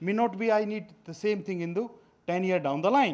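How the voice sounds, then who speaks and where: A man with an Indian accent. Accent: Indian accent, notable pronunciation. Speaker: veterinary scientist, food safety official. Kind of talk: workshop lecture. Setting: workshop presentation. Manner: hesitant with fillers.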